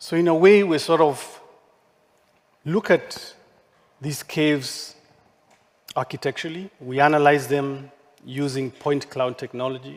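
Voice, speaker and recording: With a non-native accent, a man with a fairly high pitch speaks with ordinary pitch variation and long, frequent pauses. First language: not English. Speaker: architect. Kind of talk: conference talk.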